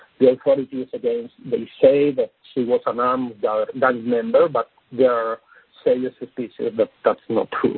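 A man talks in a Spanish accent. His pace is moderate. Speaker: policy expert. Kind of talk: panel briefing. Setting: phone call. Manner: halting.

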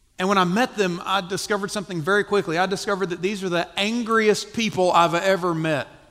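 A man talks very fast with a Southern US accent and hardly any pauses. His high-pitched voice is bright and sharp, with fairly even intonation. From US South, South Carolina. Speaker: missionary church planter. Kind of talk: testimony. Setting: church stage with audience.

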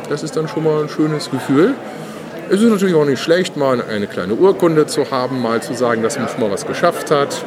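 Lively intonation at a fairly quick pace, with audible room echo and crowd noise in the background. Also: man, fairly high pitch for a man. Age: 40s. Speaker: board game designer. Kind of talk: interview. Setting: game fair stage.

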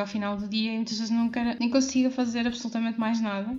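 A fairly high-pitched woman talking very fast in a flat monotone, with noticeable background noise. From Portugal, Porto. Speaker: podcast host. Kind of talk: solo podcast monologue.

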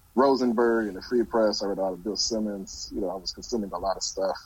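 With a fairly low pitch and fairly even intonation, a man talks at a very fast pace. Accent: American. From Detroit, Michigan. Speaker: sports journalist. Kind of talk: interview. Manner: halting.

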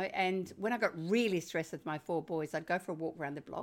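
Very fast speech from a woman with fairly low pitch and lively intonation, on a very clean recording with a silent background. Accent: Australian. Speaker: parenting author. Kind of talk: interview.

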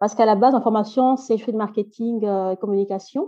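Keeping her intonation fairly even, a woman with a medium pitch speaks in a plain, everyday voice. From Belgium, Brussels. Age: 30s. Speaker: NGO founder, childcare trainer. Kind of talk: interview.

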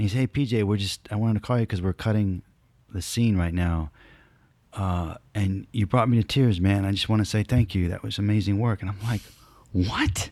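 This man has an unremarkable speaking voice, fairly low in pitch with fairly even intonation, talking at a fairly quick pace in a dry, close sound with no echo on a very clean recording with a silent background. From New Jersey and Southern California. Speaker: actor. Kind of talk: casual interview.

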